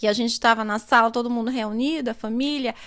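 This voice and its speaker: Her voice is high and has a bright, sharp tone. The woman is recorded very cleanly against a silent background. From Northeast Brazil, Recife, Pernambuco. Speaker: psychology student and charity founder. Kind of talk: podcast interview.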